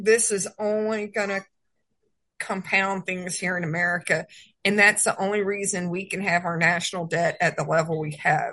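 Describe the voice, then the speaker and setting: A woman with a Southern US accent, medium pitch and fairly even intonation, against a quiet background. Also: moderate pace. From Georgia, US South. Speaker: Senate candidate and horse trainer. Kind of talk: radio interview. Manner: halting.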